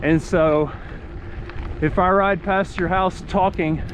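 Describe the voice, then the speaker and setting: A man with a high pitch and an American accent, with noticeable background noise. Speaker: amputee cyclist vlogger. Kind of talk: casual vlog narration while riding. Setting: outdoors on a bicycle. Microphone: action camera, muffled through cloth mask.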